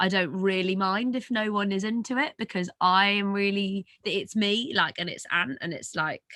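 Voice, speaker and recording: A speaker with a British accent talks at a moderate pace, with hardly any pauses and ordinary pitch variation. The sound is dry and close, with no echo. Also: woman. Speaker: musician in a pop duo. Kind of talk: interview. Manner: animated.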